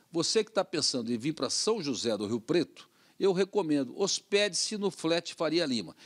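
Over a quiet background, a man with vocal fry speaks at a moderate pace, his pitch swinging very widely. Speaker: TV show host. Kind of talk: casual interview. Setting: TV studio. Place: studio. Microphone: studio mic.

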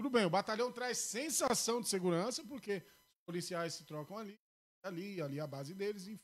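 Talking at a moderate pace, a man with a high pitch uses lively intonation and big swings in loudness. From Brazil, Ferraz de Vasconcelos (São Paulo area); São Paulo, Brazil. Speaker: local politician and community page runner; podcast guest. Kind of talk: casual interview. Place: studio. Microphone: studio mic.

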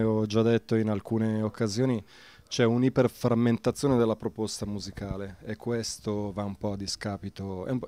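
A man's dark, mellow tone at a moderate pace, dry with no echo. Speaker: radio host and music journalist; interviewee. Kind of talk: interview. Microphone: handheld.

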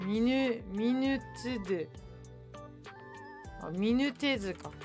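Someone speaks at a very slow pace with ordinary pitch variation while music plays in the background. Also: woman, fairly high pitch for a woman. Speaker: virtual streamer. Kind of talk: casual live-stream talk.

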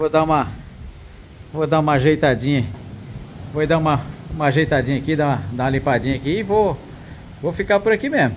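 A man talks at a fairly quick pace in a fairly high pitch with ordinary pitch variation. He leaves long, frequent pauses. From Mato Grosso do Sul, Brazil. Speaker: travel and camping vlogger. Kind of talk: vlog narration to camera. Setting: outdoors at a beach. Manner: animated.

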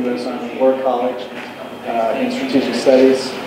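Through noticeable background noise and audible room echo, a man speaks at a fairly quick pace. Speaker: candidate. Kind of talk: interview answer. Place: hall.

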